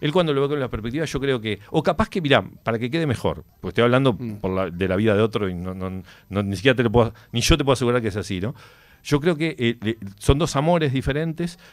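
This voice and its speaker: A man talks at a very fast pace. His intonation is lively, and the background is quiet. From Uruguay. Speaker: author of a biography; interview guest. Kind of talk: radio interview, casual chat; interview answer. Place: studio. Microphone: studio mic.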